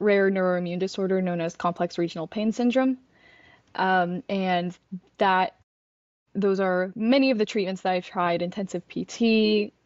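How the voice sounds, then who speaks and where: A woman with a plain, everyday voice at a medium pitch. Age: 20s. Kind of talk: podcast interview answer.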